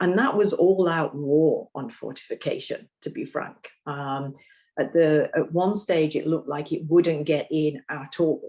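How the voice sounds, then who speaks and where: A woman's fairly slow speech in a British accent, fairly low in pitch with a dark, mellow tone and ordinary pitch variation. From Britain. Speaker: nutrition policy expert. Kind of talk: panel discussion.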